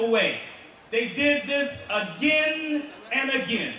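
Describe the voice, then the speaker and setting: With an American accent, a man projects his voice at an extremely high pitch, speaking very slowly with ordinary pitch variation amid audible room echo and noticeable background noise. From United States. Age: 40s. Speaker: motivational speaker. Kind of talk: public speech. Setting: stage with large audience.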